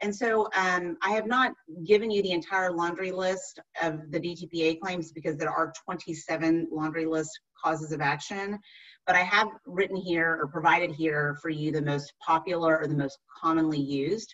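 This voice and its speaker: A woman with an American accent and a fairly low pitch speaks at a moderate pace with ordinary pitch variation over a quiet background. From Texas. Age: 40s. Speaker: attorney. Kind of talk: lecture. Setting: video call. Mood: engaged, lightly humorous. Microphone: video call.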